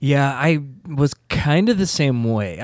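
A man with an ordinary speaking voice, fairly high in pitch, with lively intonation, in a dry, close recording with no echo. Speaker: podcast host. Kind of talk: casual chat.

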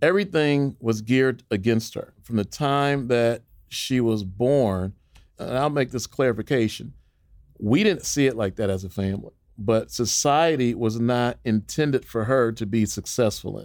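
On a very clean recording with a silent background, a man with a normal speaking voice talks at a moderate pace, with medium pitch and ordinary pitch variation. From northern Illinois, Chicago area. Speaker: nonprofit leader and author. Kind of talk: interview.

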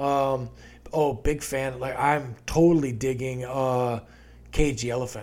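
With audible room echo, a man speaks at a very slow pace in a medium pitch and fairly even intonation. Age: 40s. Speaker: podcast host. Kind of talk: casual chat.

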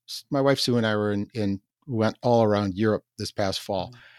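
In a very clean recording with a silent background and a dry, close sound with no echo, a man with an unremarkable speaking voice talks at a moderate pace, fairly low in pitch, with fairly even intonation. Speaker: podcast host. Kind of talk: interview, casual chat.

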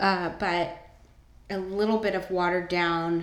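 A woman with an American accent and a fairly low pitch speaks in monotone, flat intonation, with audible room echo around her voice. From Northern California. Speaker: podcast host. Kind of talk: casual solo monologue. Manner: casual, with many filler words.

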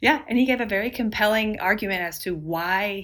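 The speaker is a woman with lively intonation. She keeps a moderate pace. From Texas. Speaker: sports podcast host. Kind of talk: casual chat.

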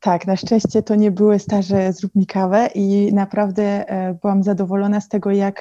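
A woman speaks at a medium pitch and moderate pace in a dark, mellow tone with monotone, flat intonation. The sound is dry and close with no echo, against a quiet background. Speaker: fashion digital consultant. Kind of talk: interview. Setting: video call.

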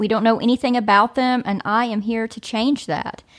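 A woman speaks in an unremarkable speaking voice at a fairly high pitch and moderate pace. The recording is very clean with a silent background. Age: 30s. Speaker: podcast host and real estate agent. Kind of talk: casual chat.

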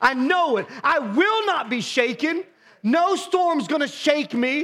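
Loud and with lively intonation, a man speaks in an extremely high voice with an American accent. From US Midwest, Ohio. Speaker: pastor. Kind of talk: sermon. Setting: church. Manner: animated.

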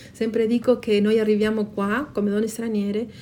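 A woman speaks in a Spanish accent with a fairly high pitch. Her tone is dark and mellow, and somewhat breathy. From Patagonia, Argentina. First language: Spanish (speaking Italian). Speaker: intercultural educator and storyteller. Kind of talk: interview answers with stories read aloud. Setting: live event at a festival.

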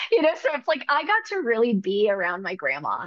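An ordinary speaking voice, a woman's, comes at a moderate pace and fairly high pitch with an American accent over a quiet background. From Northern California. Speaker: depth therapist. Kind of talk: interview.

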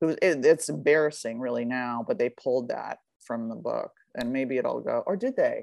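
With an American accent, a woman speaks at a moderate pace against a quiet background. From Beverly Hills, California. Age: 50s. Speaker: author in addiction recovery. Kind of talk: casual interview.

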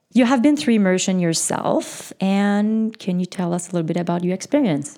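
A woman with a Quebec accent speaks at a medium pitch in a dark, mellow tone with lively intonation. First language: French. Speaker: podcast host. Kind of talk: casual chat. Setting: studio.

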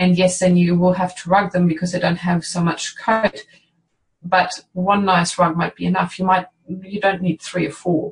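A woman with a German accent speaks at a moderate pace in a medium pitch, her voice somewhat breathy and her intonation flat and monotone. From northern Germany. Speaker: veterinarian. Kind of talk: interview.

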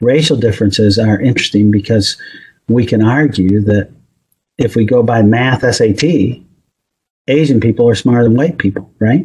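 A man with an American accent speaks at a moderate pace in a medium-pitched, somewhat breathy voice, his loudness very even. His pitch variation is ordinary, and he takes long, frequent pauses. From US Northeast. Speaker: psychology professor. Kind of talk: interview.

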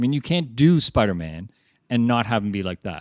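In a very clean recording with a silent background and a dry, close sound with no echo, a man talks at a fairly quick pace. He has a plain, everyday voice at a medium pitch. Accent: Canadian. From Canada, Toronto (North York). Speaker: podcast co-host. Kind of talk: casual chat.

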